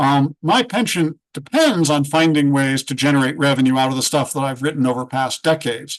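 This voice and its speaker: A man talks at a moderate pace in a normal speaking voice, fairly high in pitch. His pitch varies in an ordinary way against a quiet background. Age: 60s. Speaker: freelance writer and author. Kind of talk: panel discussion.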